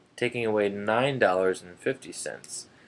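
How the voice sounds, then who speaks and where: Here is a man with an ordinary speaking voice, pitched fairly low. His pitch varies in an ordinary way, and his pace is moderate. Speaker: math teacher. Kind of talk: tutorial.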